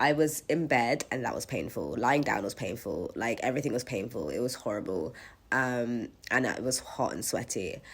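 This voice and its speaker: Husky and very deep, low in pitch, a woman speaks at a moderate pace in an animated tone with lively intonation. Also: very clean recording, silent background. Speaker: vlogger. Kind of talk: casual storytime chat.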